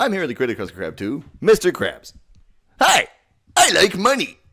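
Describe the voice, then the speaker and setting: Speaking at a moderate speed, a man uses a high pitch. It is a put-on character voice. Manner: pirate-like.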